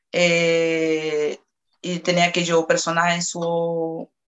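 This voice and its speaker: This woman has a fairly low-pitched voice with a Portuguese accent. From Brazil, Salvador de Bahía. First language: Portuguese (speaking Spanish). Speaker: interviewee. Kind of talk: testimony.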